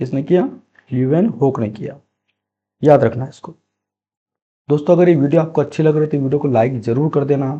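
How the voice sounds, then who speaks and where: The man has a dark, mellow tone and ordinary pitch variation. His pace is moderate. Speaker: quiz teacher. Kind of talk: tutorial. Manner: repetitive, emphatic teaching style.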